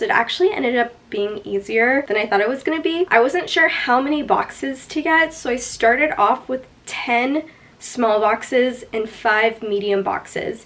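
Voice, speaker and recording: Against noticeable background noise, a woman with a fairly high pitch speaks at a moderate pace with lively intonation. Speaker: lifestyle vlogger. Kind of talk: vlog narration. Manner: casual, chatty.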